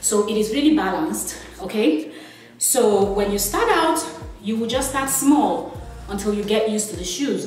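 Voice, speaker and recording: Clear music plays behind a woman speaking at a fairly slow pace. The room echo is audible. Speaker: presenter. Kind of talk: tutorial. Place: home room. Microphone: camera far.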